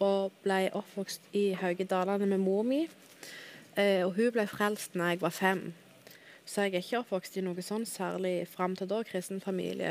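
Speaking slowly-ish in an ordinary speaking voice, a woman keeps her pitch at a medium level. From Dalane, Rogaland, southwestern Norway. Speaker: guest sharing conversion story. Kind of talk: testimony.

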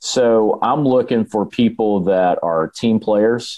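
A man with a Southern US accent and a fairly low pitch. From Alabama. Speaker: real estate team leader. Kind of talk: podcast interview.

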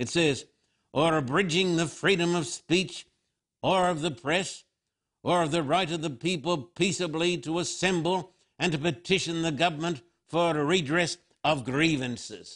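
A man's high voice at a moderate pace, ordinary pitch variation, quiet background. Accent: American. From Australia. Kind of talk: sermon-style televised address. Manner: emphatic, preacherly.

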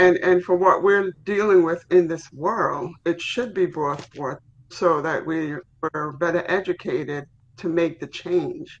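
Fairly slow pace amid noticeable background noise. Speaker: participant in Bible study. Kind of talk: Bible study discussion. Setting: video call.

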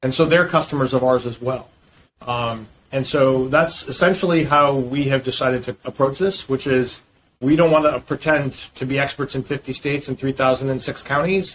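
Somewhat breathy and fairly high in pitch, a man with an American accent speaks at a moderate pace with fairly even intonation. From US Northeast, Boston. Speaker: fintech founder and CEO. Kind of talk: interview.

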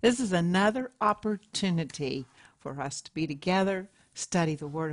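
A woman's fairly low, fairly slow, an unremarkable speaking voice over a quiet background. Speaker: co-host, trained opera singer. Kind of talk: group discussion. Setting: studio.

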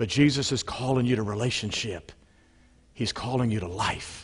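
A man's medium pitch rises and falls with ordinary variation as he talks. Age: 60s. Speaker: pastor. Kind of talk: sermon.

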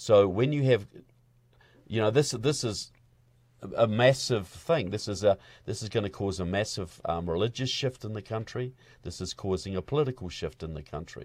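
A man with a New Zealand accent speaks at a moderate pace in a fairly low, somewhat breathy voice, his intonation lively and his loudness swinging widely. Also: very clean recording, silent background. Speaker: filmmaker and activist. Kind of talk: interview conversation. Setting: studio.

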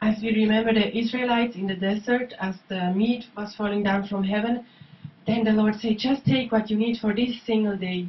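A woman speaks in an ordinary speaking voice, fairly high in pitch, at a moderate pace with fairly even intonation. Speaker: interpreter. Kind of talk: consecutive interpreting of a sermon into English. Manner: echoing the preacher's fervor, following each German phrase.

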